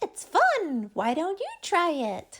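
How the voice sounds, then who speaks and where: A put-on character voice from a woman: extremely high-pitched, squeaky, excited and bubbly in tone, with very wide pitch swings. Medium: read story. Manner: excited, bubbly.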